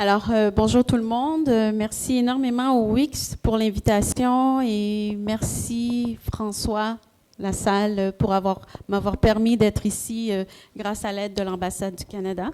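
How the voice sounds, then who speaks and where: A woman speaks with a strong Quebec accent. Her pace is very slow. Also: fairly high pitch for a woman, fairly even intonation. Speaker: entrepreneur, panelist. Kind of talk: panel talk.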